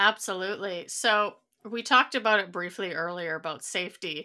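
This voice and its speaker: The recording is very clean, with a silent background. A woman speaks in a bright, sharp tone with ordinary pitch variation. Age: middle-aged. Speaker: podcast host. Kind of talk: casual interview.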